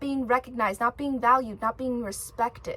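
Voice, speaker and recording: A woman's raised, projected voice, animated in tone, with noticeable background noise. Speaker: spiritual video creator. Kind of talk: motivational vlog monologue. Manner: loud.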